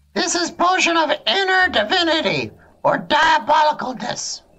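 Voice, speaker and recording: An extremely high-pitched put-on character voice from a man, at a moderate pace. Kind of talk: fantasy roleplay voice. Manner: broken, clipped speech, excited.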